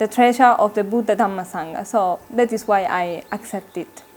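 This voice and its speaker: A woman with an Italian accent, fairly high in pitch, at a moderate pace with ordinary pitch variation, on a very clean recording with a silent background. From Italy. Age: 20s. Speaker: Buddhist nun. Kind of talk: interview. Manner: halting.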